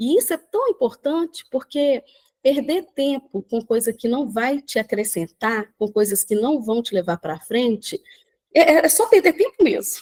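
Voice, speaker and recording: A woman speaks at a high pitch with very wide pitch swings. Her pace is fairly slow, and the sound is dry and close with no echo. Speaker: personal development speaker. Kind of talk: live talk on video call. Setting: video call from the beach.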